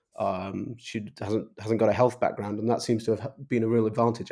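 In an English accent, the speaker talks at a moderate pace in a dark, mellow tone with monotone, flat intonation, on a very clean recording with a silent background. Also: man. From England. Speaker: think tank fellow and superforecaster. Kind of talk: casual chat. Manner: halting.

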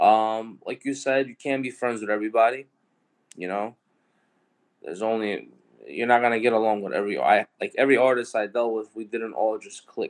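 A man with a New York accent talks at a fairly quick pace and a medium pitch. His intonation stays fairly even while his loudness swings widely. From New York City (Brooklyn, Queens). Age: 20s. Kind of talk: casual interview.

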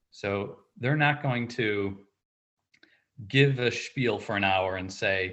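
Pitch variation is ordinary. The pace is fairly slow. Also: man. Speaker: financial advisor and finance instructor. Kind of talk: interview answers. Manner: steady weatherman-like cadence.

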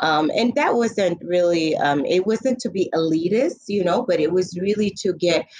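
Noticeable background noise sits behind a woman with a fairly low pitch. She speaks fairly slowly, with ordinary pitch variation. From Niger, raised in Illinois. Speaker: public health director. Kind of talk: interview.

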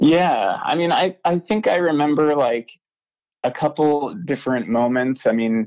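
In an American accent, a man with a plain, everyday voice and a fairly high pitch talks at a fairly slow pace, using lively intonation and very even loudness. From US South, North Carolina. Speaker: materials engineer in outdoor apparel. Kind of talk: interview. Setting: phone call.

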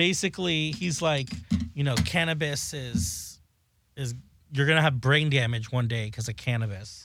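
With an American accent, a man talks at a moderate pace in an unremarkable speaking voice, fairly high-pitched, with lively intonation. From South Florida. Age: 20s. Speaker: beauty products maker and drag performer. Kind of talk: casual chat.

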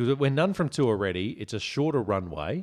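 A man's fairly slow Australian-accented voice with very wide pitch swings, on a very clean recording with a silent background. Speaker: podcast host. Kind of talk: casual drunken chat.

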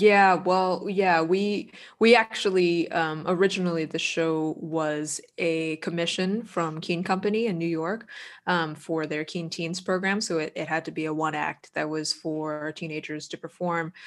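A woman with an American accent speaks in a plain, everyday voice, fairly low in pitch, at a fairly slow pace with fairly even intonation. The recording is very clean, with a silent background. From Boston, US. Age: 30s. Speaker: composer and lyricist. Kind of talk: casual chat.

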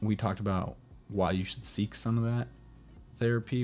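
Music plays behind a man talking at a very fast pace with an American accent. His intonation stays fairly even. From USA, Nicaraguan American family. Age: 20s. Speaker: podcast host. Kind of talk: solo podcast monologue. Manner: casual, with frequent repetitions.

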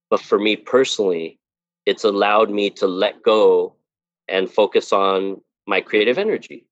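A man with a Californian accent at a moderate pace, in a dry, close sound with no echo. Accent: Californian American English. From Los Angeles, near East LA. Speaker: themed entertainment sculptor and designer. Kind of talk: interview.

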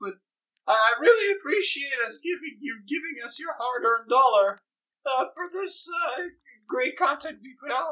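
Putting on a character voice, a woman speaks high and strained at a fairly slow pace, with very wide pitch swings, big swings in loudness, and long, frequent pauses. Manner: mock emotional, overwrought.

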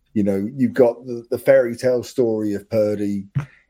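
Here a man speaks in an English accent with a dark, mellow tone. His pace is moderate. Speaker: football fan. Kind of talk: casual chat. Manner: excitable.

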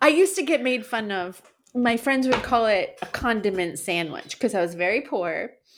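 Here a woman speaks with an American accent. Her pace is fairly slow. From New York. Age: 40s. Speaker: podcast co-host. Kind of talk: casual chat.

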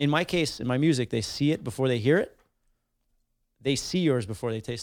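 A man with a Montreal accent at a fairly quick pace. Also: medium pitch for a man, ordinary pitch variation. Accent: Montreal English (Canadian). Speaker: podcast host and musician. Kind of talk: casual chat.

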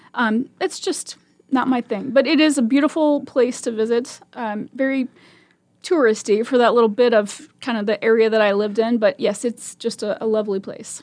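A woman is speaking here. Her pitch is fairly high, with ordinary variation. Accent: Midwestern. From Nebraska (Omaha). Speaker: volunteer radio reader. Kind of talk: radio interview. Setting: studio. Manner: fast.

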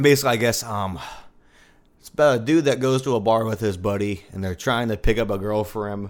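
A man in a plain, everyday voice speaks at a medium pitch with ordinary pitch variation and big swings in loudness, recorded very cleanly against a silent background. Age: 20s. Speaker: drummer and multi-instrumentalist. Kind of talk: casual chat.

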